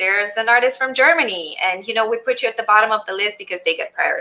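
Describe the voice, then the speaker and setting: A woman with a Romanian accent speaks at a fairly high pitch. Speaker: general contractor and business owner. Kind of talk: interview.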